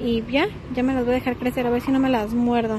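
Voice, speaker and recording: Noticeable background noise surrounds a woman speaking at a high pitch, the sound dry with no echo. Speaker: vlogger. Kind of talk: casual vlog chat. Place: street. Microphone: phone near.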